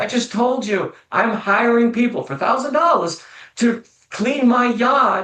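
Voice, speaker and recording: Using a raised, projected voice, a man speaks at an extremely high pitch and a fairly slow pace. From New England. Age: 60s. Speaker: financial planner. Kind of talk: podcast interview.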